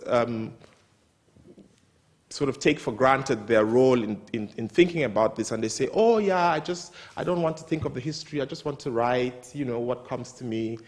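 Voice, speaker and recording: Speaking at a moderate pace, a man has a Nigerian accent. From northern Nigeria. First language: Hausa. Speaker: writer. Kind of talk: talk at a literary event.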